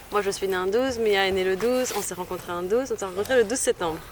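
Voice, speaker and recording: Noticeable background noise sits behind this recording. A woman talks at a very fast pace, her medium pitch showing ordinary variation. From Belgium. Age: 20s. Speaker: yoga retreat organiser. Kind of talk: casual talk to camera.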